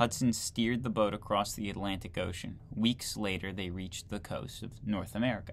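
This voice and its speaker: Light background noise accompanies a man at a fairly low pitch with fairly even intonation. He keeps a fairly quick pace with hardly any pauses. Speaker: video creator reading a textbook aloud. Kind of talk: reading aloud from a 1940 history textbook, with casual asides. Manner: conversational, incredulous commentary between passages. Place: home room. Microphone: webcam.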